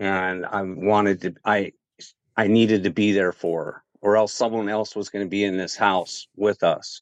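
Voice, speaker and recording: The recording is dry and close with no echo, over a quiet background. A man talks at a moderate pace in a monotone, flat intonation. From Alaska. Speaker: podcast guest. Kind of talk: casual chat.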